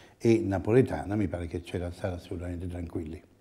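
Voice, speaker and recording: A man talks at a very fast pace. His tone is dark and mellow, and somewhat breathy. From Italy. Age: 70s. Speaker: architect. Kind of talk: interview. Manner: halting. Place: office. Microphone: lapel.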